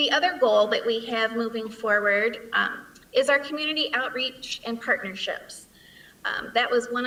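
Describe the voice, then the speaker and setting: A woman talks in an ordinary speaking voice with a fairly high pitch. She keeps a moderate pace and ordinary pitch variation. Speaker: school principal. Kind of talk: presentation.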